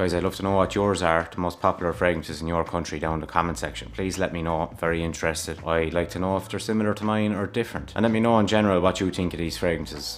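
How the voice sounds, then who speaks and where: A man with an Irish accent and very deep, low pitch, at a very fast pace with hardly any pauses, ordinary pitch variation and noticeable background noise. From Ireland. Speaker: fragrance YouTuber. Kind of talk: casual review vlog. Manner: rambling, conversational.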